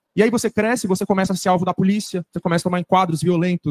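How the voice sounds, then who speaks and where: A man speaks in a high voice with fairly even intonation, and the sound is dry and close with no echo. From Brazil, grew up poor in a favela. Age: 20s. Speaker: university student and activist on a panel. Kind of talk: panel discussion answer. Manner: informal, slangy.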